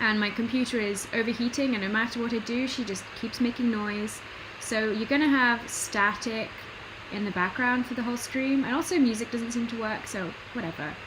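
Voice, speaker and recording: A woman with a British accent talks at a fairly quick pace in a fairly high voice with fairly even intonation. Audible room echo and noticeable background noise fill the recording. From Britain. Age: 20s. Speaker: artist streamer. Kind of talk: casual livestream commentary while drawing. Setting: home livestream. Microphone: computer built-in mic, poor audio quality.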